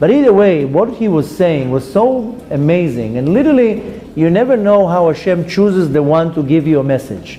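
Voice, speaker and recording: Over noticeable background noise, a man with a high pitch makes very wide pitch swings. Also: moderate pace, very even loudness. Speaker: rabbi and Torah teacher. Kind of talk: lecture. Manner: loud; loud even when whispering.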